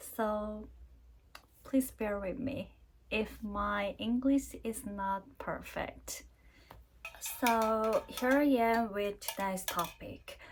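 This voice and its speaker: Very slow with long, frequent pauses, a woman with a Korean accent speaks at a fairly high pitch with fairly even intonation. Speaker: vlogger, university career advisor. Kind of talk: casual vlog talk to camera. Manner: halting, many fillers.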